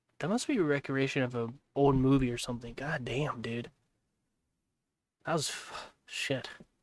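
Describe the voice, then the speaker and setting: A man with an American accent talks at a moderate pace and medium pitch. His intonation is fairly even, and he leaves long, frequent pauses. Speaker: livestreamer. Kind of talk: casual reaction stream. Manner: loud.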